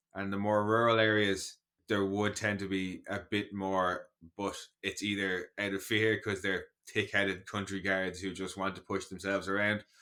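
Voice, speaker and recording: A man speaks with an Irish accent at a moderate pace, his pitch fairly low and his tone bright and sharp. The recording is very clean, with a silent background. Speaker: podcast co-host. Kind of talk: casual chat. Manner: animated.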